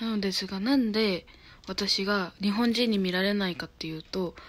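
Ordinary pitch variation at a moderate pace. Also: woman. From Japan, Hyogo. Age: 20s. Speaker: YouTuber; vlogger. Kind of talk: casual self-introduction vlog. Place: home room. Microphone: phone near.

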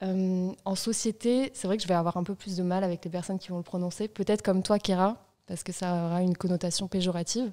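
Against a quiet background, a woman talks very fast at a medium pitch, her tone dark and mellow and her intonation fairly even. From Marseille, southern France. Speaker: journalist. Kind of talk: casual chat. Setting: studio. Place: studio. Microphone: studio mic.

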